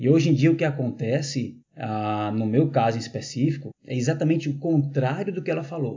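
A somewhat breathy delivery at a moderate pace, with hardly any pauses and ordinary pitch variation. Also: man, fairly high pitch for a man. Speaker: teacher. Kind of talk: casual chat. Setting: at home with hosts.

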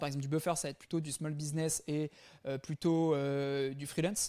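This man's voice sits at a fairly high pitch. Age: 20s. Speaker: startup founder. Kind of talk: interview. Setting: remote interview.

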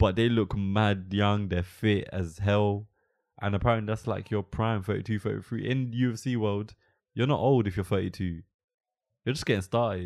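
An unremarkable speaking voice from a man, fairly low-pitched, with fairly even intonation. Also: moderate pace. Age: 20s. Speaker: podcast host. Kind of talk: casual chat.

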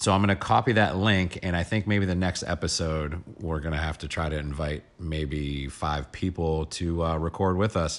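A moderate pace, hardly any pauses, and fairly even intonation. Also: man. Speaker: podcast co-host. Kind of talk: casual chat. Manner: loud.

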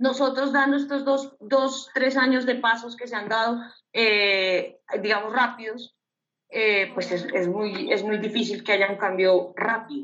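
A woman's ordinary speaking voice, fairly high in pitch, at a fairly slow pace with ordinary pitch variation. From Bogotá, Colombia. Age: 20s. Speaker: photographer. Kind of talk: casual chat.

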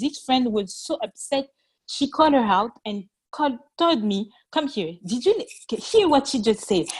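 A woman speaks with a French accent at a moderate pace. Her voice is somewhat breathy, with lively intonation. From France. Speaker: interview guest. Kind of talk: interview. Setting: call.

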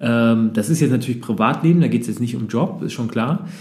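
A man speaks at medium pitch with ordinary pitch variation. Room echo is audible. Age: 30s. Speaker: podcast host, entrepreneur. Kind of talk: interview. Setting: coworking space.

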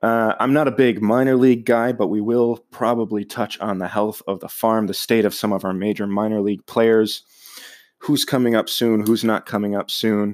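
At a moderate pace, a man with an American accent speaks in a medium pitch with monotone, flat intonation. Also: very clean recording, silent background. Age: 20s. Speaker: podcast host, sports fan. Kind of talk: solo podcast monologue. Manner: casual with frequent fillers.

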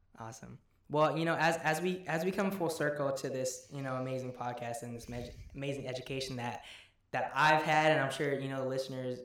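Amid noticeable background noise and audible room echo, a man with a medium pitch speaks fairly quickly with fairly even intonation. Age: 20s. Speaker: podcast host. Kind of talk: casual interview.

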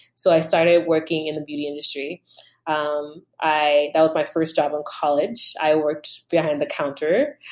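On a very clean recording with a silent background, a woman speaks with a very deep, low pitch and monotone, flat intonation. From Nigeria. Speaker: beauty brand founder. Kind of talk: interview.

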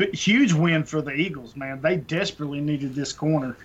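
Moving at a fairly quick pace, a man with a fairly high pitch talks in an ordinary speaking voice. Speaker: fantasy football podcast co-host. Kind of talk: casual chat.

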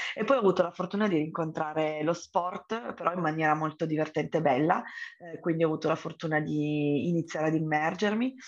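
Her voice is very deep. She speaks with a low pitch. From Turin, northern Italy. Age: 30s. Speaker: entrepreneur. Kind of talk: podcast interview.

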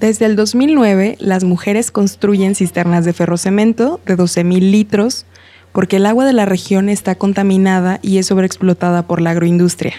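Using an ordinary speaking voice, a woman of medium pitch talks at a moderate pace, with fairly even intonation and very even loudness. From Mexico, Guanajuato. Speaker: narrator and community water organizer. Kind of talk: scripted narration.

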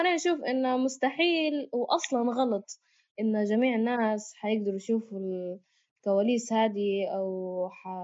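A woman with a Libyan accent speaks fairly slowly. Her pitch is fairly high, with ordinary variation. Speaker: podcast co-host. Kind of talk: casual chat.

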